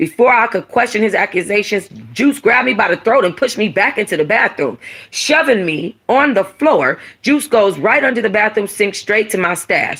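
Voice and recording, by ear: A woman talks at a medium pitch and moderate pace, with few pauses and lively intonation. Her tone is fairly bright with a slightly husky edge.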